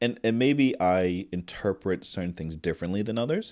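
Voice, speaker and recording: Fairly quick speech from a man with a fairly low pitch and ordinary pitch variation. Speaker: mental health nurse. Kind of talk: casual chat. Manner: loud.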